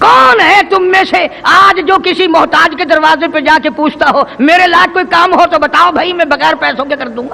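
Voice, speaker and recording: Noticeable background noise sits behind a man with an extremely high-pitched, raised, projected voice. He sounds passionate, though his intonation stays fairly even. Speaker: Islamic preacher (qari). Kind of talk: Islamic sermon (taqreer / bayan). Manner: passionate, oratorical, emphatic, addressing the audience directly.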